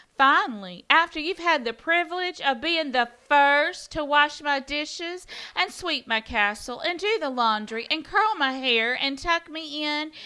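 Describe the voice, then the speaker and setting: A woman puts on a high-pitched, cackling character voice, moving at a moderate pace with hardly any pauses. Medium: read story. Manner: bossy, gleeful.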